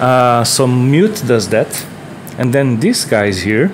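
With a Portuguese accent, the speaker talks at a very slow pace and ordinary pitch variation. Light noise sits in the background. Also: man. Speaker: DIY synthesizer builder and video maker. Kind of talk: tutorial video log. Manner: halting, many filler words; enthusiastic. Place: home room. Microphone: earbuds.

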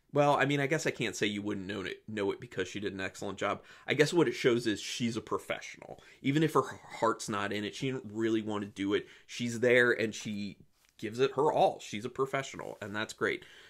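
A man speaks at a fairly quick pace with a quiet background behind him. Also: ordinary pitch variation. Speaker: film reviewer. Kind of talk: commentary. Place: home room. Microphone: phone near.

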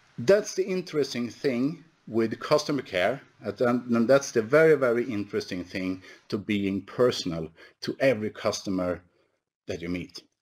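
A man at medium pitch with a Swedish accent, lively intonation and a moderate pace. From Sweden. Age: 50s. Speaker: company executive; presenter. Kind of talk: conference presentation. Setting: online webinar. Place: office. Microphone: headset.

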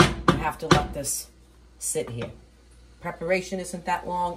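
At a moderate pace, a woman with a fairly low pitch, ordinary pitch variation and vocal fry speaks over light background noise. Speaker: home cook host. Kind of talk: cooking tutorial. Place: kitchen. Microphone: camera far.

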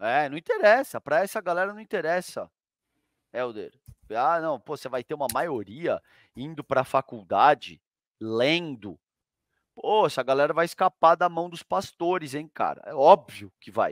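A man's fairly high voice at a moderate pace, with lively intonation and big swings in loudness, dry with no echo against a quiet background. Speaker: co-host commentator. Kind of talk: casual heated commentary. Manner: informal, indignant, hesitant with repetitions. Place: home room. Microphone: headset.

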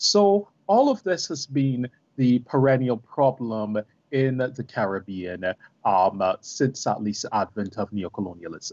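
A man at a fairly slow pace with very wide pitch swings, dry sound with no echo and a quiet background. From Barbados. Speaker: professor. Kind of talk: panel discussion. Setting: video call. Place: home room. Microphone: video call.

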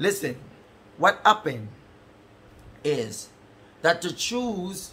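A man speaks in a high pitch at a fairly slow pace, with a bright, sharp and animated tone. Light background noise can be heard. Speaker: preacher. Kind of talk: sermon. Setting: church service streamed online. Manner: animated, fervent, preaching in full flow with call-and-response. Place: home room.

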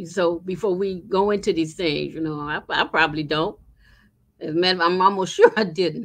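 Against a quiet background, a woman with an ordinary speaking voice talks at a fairly quick pace in a fairly low pitch, her intonation fairly even. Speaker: book club member. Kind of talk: casual group discussion. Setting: video call. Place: home room. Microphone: video call.

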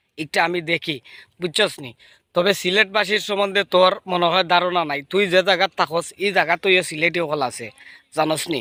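In a Sylheti accent, a man speaks at high pitch with ordinary pitch variation and a bright, sharp tone. The sound is dry and close, with no echo. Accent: Sylheti Bengali. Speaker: YouTuber. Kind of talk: roast video. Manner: animated.

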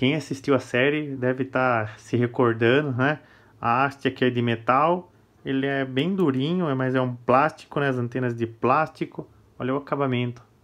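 A man with a Brazilian accent and a medium pitch. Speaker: toy collector and YouTuber. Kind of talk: product review. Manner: casual, enthusiastic.

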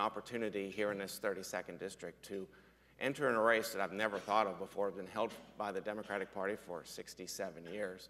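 A man with an American accent has a fairly low pitch. He talks at a moderate pace. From western Pennsylvania, Fayette County; western Pennsylvania. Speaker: state senator, business owner; state senator. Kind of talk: panel discussion. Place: stage.

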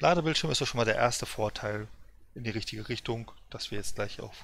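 Speaking at a fairly quick pace, a man with an ordinary speaking voice uses a medium pitch, ordinary pitch variation and big swings in loudness. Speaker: streamer. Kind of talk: casual chat. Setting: live stream, gaming. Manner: chatty, rambling.

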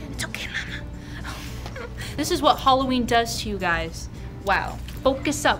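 A woman is speaking. Clear music plays behind her. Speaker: vlogger. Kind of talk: casual vlog chat. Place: shop. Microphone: camera far.

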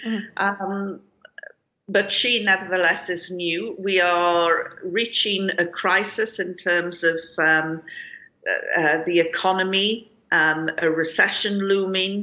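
Speaking very slowly, a woman keeps her intonation fairly even. She has a British accent. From UK. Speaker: journalist and political analyst; journalist, political analyst. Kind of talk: news interview. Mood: somber, measured. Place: home room. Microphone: video call.

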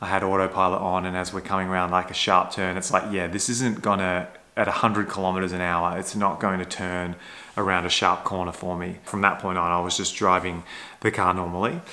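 A man's very deep, low voice at a fairly quick pace, in a monotone, flat intonation. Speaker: electric car vlogger. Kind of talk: casual vlog chat. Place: home room. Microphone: phone near.

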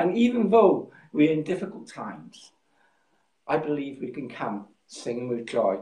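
A man talks at a fairly slow pace in a dark, mellow tone, somewhat breathy. The room echo is audible. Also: quiet background. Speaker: pastor. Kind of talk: sermon. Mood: warm, calm. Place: home room. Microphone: phone near.

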